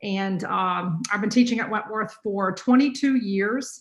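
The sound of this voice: A woman speaks with a North Carolina accent. The room echo is audible. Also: medium pitch for a woman, ordinary pitch variation, fairly slow pace. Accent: North Carolina, US Southern.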